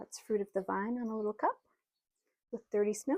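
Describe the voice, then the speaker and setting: Mumbling at a very fast pace, a woman speaks with a fairly high pitch. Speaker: potter, small business owner. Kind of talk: casual talk to camera. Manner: mumbly.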